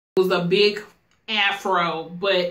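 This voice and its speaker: A woman's bright, sharp tone carries audible room echo against a quiet background. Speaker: hair stylist and vlogger; vlogger. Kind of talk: tutorial. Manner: casual, chatty. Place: home room.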